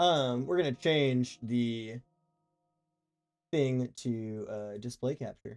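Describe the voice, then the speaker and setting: Over music in the background, a man speaks at medium pitch with ordinary pitch variation. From New Mexico. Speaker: gaming streamer. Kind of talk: casual chat. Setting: live stream. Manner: clear diction.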